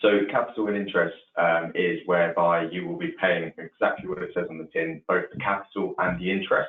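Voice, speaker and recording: A man talks with an English accent. He moves at a fairly quick pace with hardly any pauses. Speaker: mortgage adviser. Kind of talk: expert explanation in webinar. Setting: online webinar call.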